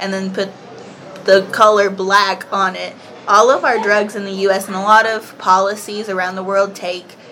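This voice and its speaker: Over noticeable background noise, a woman with a Southern US accent talks at a moderate pace in a flat, monotone intonation, her loudness swinging widely. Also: medium pitch for a woman. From Kentucky, US South. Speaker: podcast guest. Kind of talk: casual chat.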